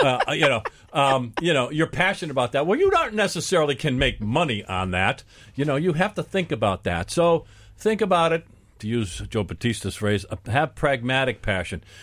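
A man with a fairly high pitch and vocal fry speaks at a fairly quick pace, his pitch swinging very widely. The recording is very clean, with a silent background. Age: 50s. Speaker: executive coach and business show host. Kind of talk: radio panel discussion. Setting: radio studio.

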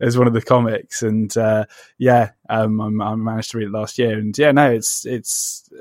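Recorded very cleanly against a silent background, a man with a British accent speaks at medium pitch and a moderate pace in a monotone, flat intonation, the sound dry and close with no echo. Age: 30s. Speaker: podcast host, comic book writer. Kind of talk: interview. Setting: conservatory. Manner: halting.

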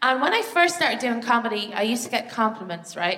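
A woman in an Irish accent, fairly high-pitched and fairly quick. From Ireland. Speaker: comedian. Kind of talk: stand-up. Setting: stage with audience.

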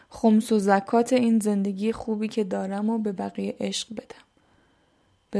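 At a moderate pace, a woman talks in a dark, mellow tone with medium pitch and monotone, flat intonation. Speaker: podcaster. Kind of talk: personal monologue. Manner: emotional.

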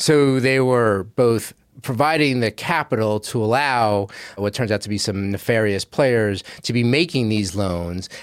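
The recording is very clean, with a silent background. A man with a plain, everyday voice and medium pitch speaks at a fairly slow pace with ordinary pitch variation. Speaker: investigative journalist. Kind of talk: interview.

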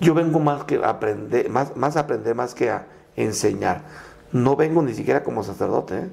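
Speaking in a plain, everyday voice, a man at medium pitch uses lively intonation at a moderate pace. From Mexico, Michoacán (Purépecha town near Tancítaro). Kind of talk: interview conversation.

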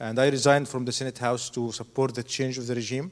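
A man speaks with an Arabic accent. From Egypt. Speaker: doctor, hospital founder. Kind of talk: testimony. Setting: church.

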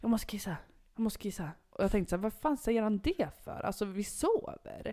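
With a dark, mellow tone, the woman's voice sits at a medium pitch. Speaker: podcast co-host. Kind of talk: casual chat. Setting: home bedroom.

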